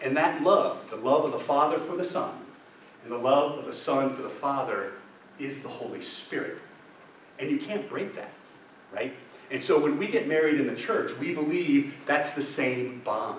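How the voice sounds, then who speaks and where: A man with a fairly high pitch talks at a moderate pace with ordinary pitch variation, taking long, frequent pauses amid audible room echo and noticeable background noise. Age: 60s. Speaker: deacon leading marriage preparation ministry. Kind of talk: adult faith formation talk. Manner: conversational, checks in with audience.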